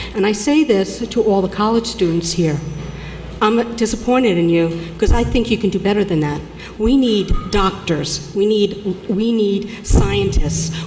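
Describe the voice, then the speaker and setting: The pitch varies in an ordinary way. There is noticeable background noise and audible room echo. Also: woman, medium pitch for a woman, fairly slow pace. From New York (Long Island). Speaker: public commenter, accountant. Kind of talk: public comment at city council hearing. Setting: city council meeting. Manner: halting.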